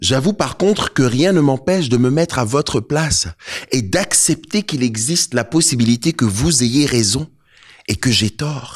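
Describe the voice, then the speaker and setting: A man's fairly slow, somewhat breathy voice at medium pitch, with lively intonation and very even loudness. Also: dry, close sound with no echo. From Côte d'Ivoire. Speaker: poet and rapper. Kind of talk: spoken word performance. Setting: stage with audience.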